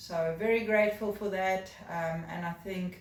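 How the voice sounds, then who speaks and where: Amid audible room echo, a woman with a South African accent speaks very slowly in a somewhat breathy voice. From South Africa, Cape Town (Durbanville). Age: 30s. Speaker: job applicant. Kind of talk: video job application, personal introduction. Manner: hesitant, many fillers.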